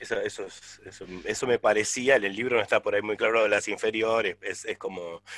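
This man talks at a fairly quick pace, and the sound is dry and close with no echo. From Argentina, La Plata. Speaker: radio host. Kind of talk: casual interview.

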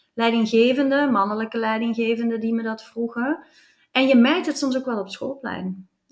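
An energetic woman's voice in a Flemish accent, fairly high in pitch, at a moderate pace. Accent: Flemish Belgian Dutch. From Flanders, Belgium. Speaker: commercial director. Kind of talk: interview.

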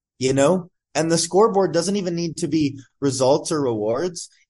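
A man with a normal speaking voice, fairly high in pitch, ordinary pitch variation and a moderate pace. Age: 20s. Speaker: entrepreneur and performance coach. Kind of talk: casual interview. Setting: podcast.

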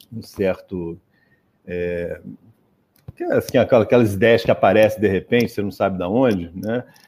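A man with a fairly low pitch, a fairly slow pace, fairly even intonation and long, frequent pauses. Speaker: professor. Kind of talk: interview.

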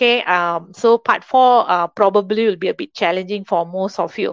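A woman speaks with a Malaysian accent and ordinary pitch variation. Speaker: English teacher. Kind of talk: lecture.

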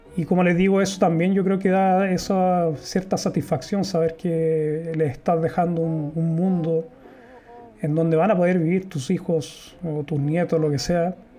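A man with a Chilean accent, high-pitched, at a moderate pace, with very even loudness and fairly even intonation. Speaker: YouTuber and podcaster. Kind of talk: livestream monologue. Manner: hesitant, with fillers.

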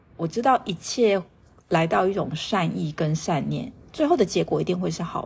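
A woman speaks at a moderate pace, her loudness rising and falling in big swings. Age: 40s. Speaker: meditation and yoga teacher, podcast host. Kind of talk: solo podcast talk on astrology and mindfulness.

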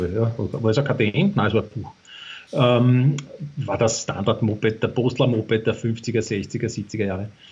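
A man talks at medium pitch and a fairly slow pace. His voice is somewhat breathy, with fairly even intonation. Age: 50s. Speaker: former motorcycle racer. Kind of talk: casual interview. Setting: remote call from country house. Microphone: poor internet connection.

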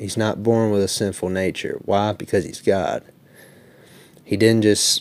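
Speaking with an Alabama accent, a man talks at a fairly slow pace with fairly low pitch and fairly even intonation. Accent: Southern US (Alabama). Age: 20s. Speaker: debater. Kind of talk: formal debate opening statement.

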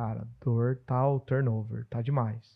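A man's voice comes through somewhat breathy. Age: 40s. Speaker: podcast host and business consultant. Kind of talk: casual podcast chat.

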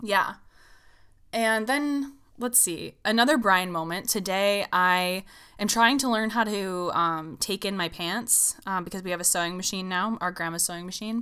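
A loud, bright, sharp voice at a moderate pace, with ordinary pitch variation on a very clean recording against a silent background. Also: woman, medium pitch for a woman. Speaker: podcast co-host. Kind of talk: casual chat.

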